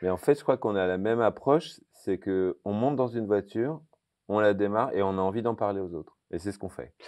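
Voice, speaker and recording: A man speaks at a fairly quick pace, his fairly low pitch moving with ordinary variation against a quiet background. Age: 50s. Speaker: TV car show presenter; car show host. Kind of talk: casual interview. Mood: relaxed, storytelling. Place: hall. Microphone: lapel.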